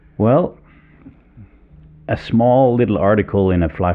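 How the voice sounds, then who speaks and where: Speaking with a Danish accent, a man goes at a fairly slow pace with ordinary pitch variation. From Denmark. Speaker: fly fishing guide. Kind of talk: interview. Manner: halting, many fillers.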